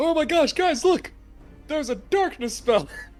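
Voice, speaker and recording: In a high, put-on character voice, the speaker shouts at a moderate pace. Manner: excited shouting.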